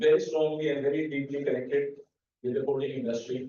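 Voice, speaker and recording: The room echo is audible as this man delivers his words in a fairly level tone. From India, Mumbai. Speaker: paint manufacturer and business owner. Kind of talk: lecture presentation. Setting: university lecture hall with audience.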